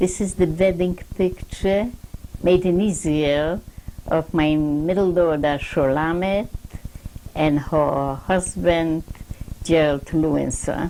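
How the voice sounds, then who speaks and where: Noticeable background noise surrounds a woman with a fairly low voice. She speaks at a very slow pace with long, frequent pauses and very even loudness. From Poland. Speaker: Holocaust survivor. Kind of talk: oral history interview. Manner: halting.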